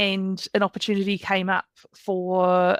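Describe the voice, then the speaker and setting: A woman speaks with a New Zealand accent. The sound is dry and close, with no echo. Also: very clean recording, silent background. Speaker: career coach. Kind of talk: podcast interview. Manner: conversational.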